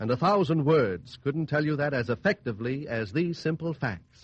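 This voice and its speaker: Somewhat breathy and fairly high-pitched, a man speaks at a fairly slow pace with lively intonation. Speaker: radio announcer. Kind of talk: commercial announcement. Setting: radio studio.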